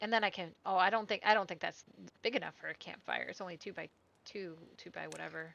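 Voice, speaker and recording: Talking at a very fast pace, a woman at medium pitch uses vocal fry, with fairly even intonation and big swings in loudness. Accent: American. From US Midwest. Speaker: gaming streamer. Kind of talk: gameplay commentary. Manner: casual, chatty with fillers.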